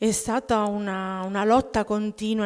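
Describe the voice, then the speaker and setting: A woman talks against a quiet background. Her intonation stays monotone and flat. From Abruzzo, Italy (childhood partly in Germany). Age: 40s. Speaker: testimony giver at prayer group. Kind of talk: testimony. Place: church. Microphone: podium.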